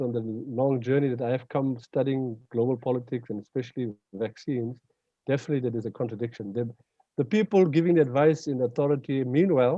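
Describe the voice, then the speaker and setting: An unremarkable speaking voice from a man, medium in pitch, at a fairly quick pace with ordinary pitch variation. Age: 60s. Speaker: Islamic scholar and panelist. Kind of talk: panel discussion.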